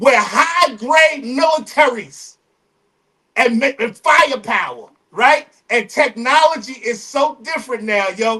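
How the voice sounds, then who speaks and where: An extremely high-pitched man's voice, raised and projected, at a fairly slow pace with ordinary pitch variation. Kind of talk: casual chat. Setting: livestream. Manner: animated.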